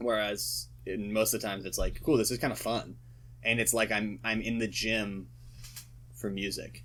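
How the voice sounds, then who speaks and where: A man speaks with lively intonation at a moderate pace. His fairly low voice has vocal fry. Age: 20s. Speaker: singer-songwriter. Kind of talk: casual chat. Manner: halting.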